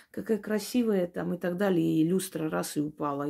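A moderate pace with ordinary pitch variation on a very clean recording over a silent background. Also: woman. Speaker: witch / esoteric practitioner. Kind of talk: esoteric advice talk to camera.

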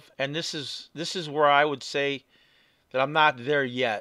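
Against a quiet background, a man with a Chicago accent and a fairly high, bright and sharp voice talks at a moderate pace, the sound dry with no echo. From Southeast Side of Chicago. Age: 50s. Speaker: podcaster. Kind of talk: casual podcast talk to camera. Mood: reflective, relaxed. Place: home room. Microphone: webcam.

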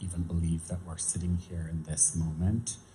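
Faint music plays behind a man with a Canadian accent. His very deep, low pitch holds a monotone, flat intonation. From small-town Saskatchewan, Canada. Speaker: makeup and mixed media artist; guest. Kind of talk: onstage conversation. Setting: store event with live audience. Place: hall. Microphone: handheld.

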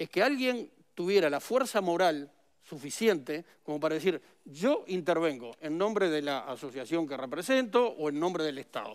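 Pitched high, a man talks at a moderate pace with very wide pitch swings. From Uruguay. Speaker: former government official and politician. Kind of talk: interview. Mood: critical, earnest. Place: studio.

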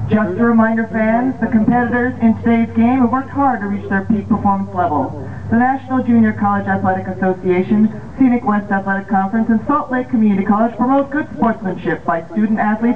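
Over noticeable background noise, a woman talks at a very fast pace with a fairly high pitch and ordinary pitch variation. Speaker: public address announcer. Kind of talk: baseball PA announcement. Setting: PA system. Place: stadium.

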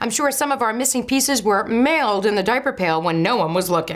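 A woman talks fairly quickly, and the background is quiet. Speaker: lifestyle show host. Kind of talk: tips segment host talk. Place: kitchen.

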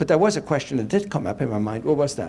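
A man is speaking. Light background noise is present. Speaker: guest lecturer. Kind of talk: lecture. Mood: engaging, humorous. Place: hall. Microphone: handheld.

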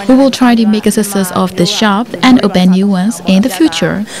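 A woman at a moderate pace with fairly even intonation and noticeable background noise. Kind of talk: interview answer. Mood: pleased, calm. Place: cafe. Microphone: handheld.

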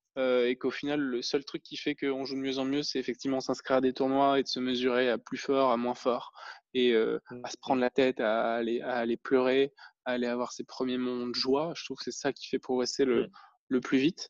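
Against a quiet background, a man speaks at a fairly quick pace in a monotone with flat intonation, the sound dry and close with no echo. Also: medium pitch for a man. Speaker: podcast host. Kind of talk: casual interview chat.

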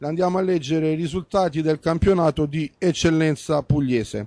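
In a dry, echo-free recording with a quiet background, a man speaks at a moderate pace in a dark, mellow tone. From Apulia. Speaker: local sports TV host. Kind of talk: sports talk show and results reading. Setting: bar. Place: studio. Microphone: handheld.

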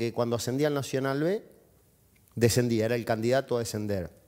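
Against a quiet background, a man in an Argentine accent talks at a fairly quick pace with a medium pitch and ordinary pitch variation. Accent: Rioplatense Argentine Spanish. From Junín, Buenos Aires province, Argentina; Buenos Aires province, Argentina. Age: 50s. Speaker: football club president; guest. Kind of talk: TV interview. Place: studio. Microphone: headset.

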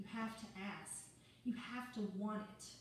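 Over light background noise and strong room echo, a woman speaks at a moderate pace with fairly even intonation. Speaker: preacher. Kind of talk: sermon. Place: church. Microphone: camera far.

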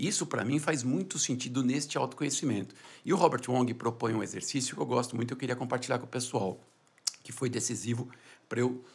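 A man speaks at a fairly quick pace with a somewhat breathy voice. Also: medium pitch for a man, ordinary pitch variation. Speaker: business founder and CEO; entrepreneur. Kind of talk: podcast interview. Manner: soft-spoken. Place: studio. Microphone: studio mic.

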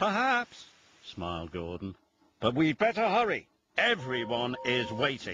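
A quiet background sits behind someone reading aloud in a natural voice.

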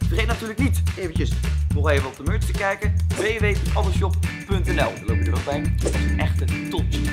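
A man talks at a very fast clip. Loud music plays behind him. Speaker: youtuber. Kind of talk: casual vlog intro. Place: shop.

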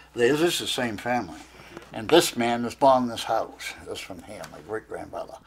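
The speaker is a man with a Maine accent. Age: 90s. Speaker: master craftsman. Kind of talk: casual chat.

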